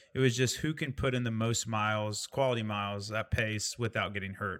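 Medium-pitched man with a Midwestern American accent, bright, sharp tone, fairly quick pace and ordinary pitch variation, in a very clean recording with a silent background. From Indiana. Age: 30s. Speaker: podcast host. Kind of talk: casual chat.

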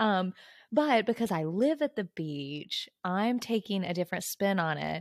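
A woman with an ordinary speaking voice talks at a fairly slow pace in a medium pitch, the sound dry and close with no echo. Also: lively intonation. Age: 20s. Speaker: book club podcast co-host. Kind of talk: casual chat.

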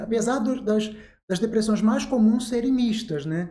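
The tone of this man's voice is dark and mellow. His pitch sits high. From Rio de Janeiro state, Angra dos Reis. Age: 40s. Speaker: psychiatrist. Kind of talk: interview.

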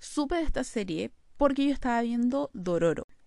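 A woman talks at a moderate pace in a high voice with very wide pitch swings, captured in a very clean recording with a silent background. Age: 20s. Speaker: podcast host. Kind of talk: solo podcast monologue.

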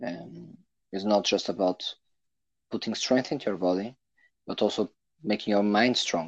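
A man's fairly low-pitched voice over a quiet background. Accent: Portuguese. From Portugal. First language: Portuguese. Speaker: racing driver. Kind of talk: interview. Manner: halting.

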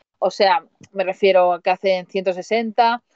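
Her intonation is flat and monotone. The woman's voice sits at a medium pitch. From Spain, Mataró (Barcelona). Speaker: van-life traveller and coach. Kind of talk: casual chat. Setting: remote call on a livestream.

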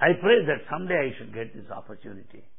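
A man speaks with a Telugu accent. His pitch swings very widely. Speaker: spiritual speaker. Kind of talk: spiritual discourse. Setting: hall with audience.

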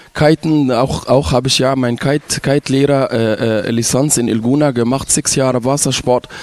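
With an Arabic accent, the speaker talks at a moderate pace with hardly any pauses, very even loudness and fairly even intonation, over noticeable background noise. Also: man, medium pitch for a man. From Egypt, Ismailia. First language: Arabic (speaking German). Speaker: resort entertainer. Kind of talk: casual interview.

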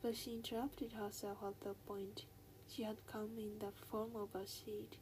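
A text read out loud in a natural voice.

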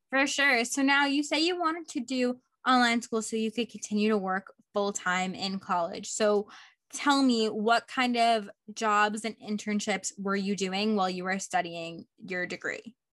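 A woman's ordinary speaking voice, fairly high in pitch, with lively intonation, a moderate pace and a quiet background. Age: 20s. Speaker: podcast host. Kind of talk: interview; casual chat.

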